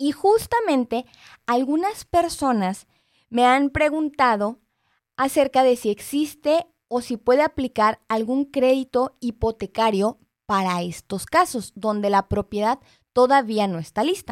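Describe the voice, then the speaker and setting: In a very clean recording with a silent background, a woman speaks at a fairly slow pace with a high pitch and lively intonation. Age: 30s. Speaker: radio host, mortgage specialist. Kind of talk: live radio talk show. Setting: radio studio.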